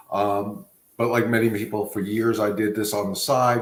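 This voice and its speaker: A man with an American accent, at a fairly slow pace with ordinary pitch variation. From Long Island, New York. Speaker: dog trainer, business founder. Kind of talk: podcast interview.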